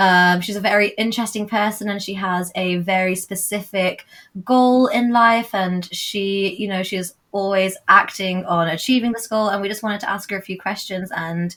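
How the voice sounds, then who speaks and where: A British accent, hardly any pauses, a moderate pace and fairly even intonation. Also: woman, medium pitch for a woman. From England. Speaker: podcast host. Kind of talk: casual chat.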